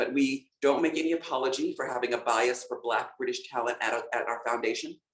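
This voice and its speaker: A man is speaking. His pace is fairly quick. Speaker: civil rights organization leader. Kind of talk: online panel discussion. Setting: online video event. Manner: halting, with many fillers.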